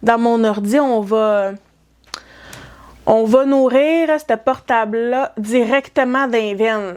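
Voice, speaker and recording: In a Quebec accent, a woman with a fairly high pitch speaks very slowly with fairly even intonation. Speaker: knitting vlogger. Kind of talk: casual vlog talk. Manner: hesitant, many fillers.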